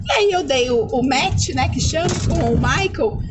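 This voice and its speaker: With very wide pitch swings and an animated tone, a woman speaks over noticeable background noise. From Brazil, Taubaté, São Paulo. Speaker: au pair. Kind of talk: casual chat.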